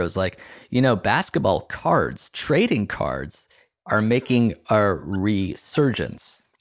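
On a very clean recording with a silent background, a man speaks fairly slowly in a plain, everyday voice with lively intonation. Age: 30s. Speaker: comedian and podcast company co-founder. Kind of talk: casual chat.

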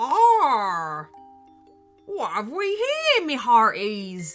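Someone in a put-on character voice speaks at a fairly high pitch and a very slow pace, with faint music in the background.

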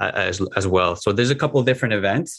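In a Quebec accent, a man talks over a quiet background. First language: French. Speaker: professional climber and grip athlete. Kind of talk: interview. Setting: video call. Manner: halting, many fillers.

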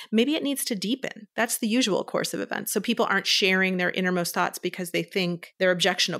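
A woman with a Californian accent speaks at a very fast pace with hardly any pauses, using a bright, sharp tone, medium pitch and ordinary pitch variation, in a very clean recording with a silent background. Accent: General American (Californian). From US West Coast, Berkeley California. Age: 50s. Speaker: therapist. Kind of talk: interview.

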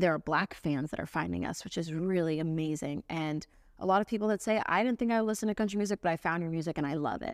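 A woman with an American accent speaks at a very fast pace, her pitch fairly low with ordinary variation. The recording is very clean with a silent background, dry and close with no echo. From Central Florida, US South. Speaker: singer-songwriter. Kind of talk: casual interview. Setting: in person studio.

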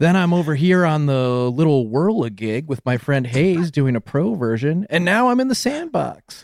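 A man speaks with a normal speaking voice and lively intonation. His pace is moderate. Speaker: podcaster. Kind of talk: casual chat.

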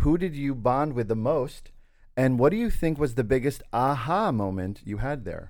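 A man with a normal speaking voice talks at a moderate pace, his medium pitch carried by lively intonation. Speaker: podcast co-host. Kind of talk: casual chat.

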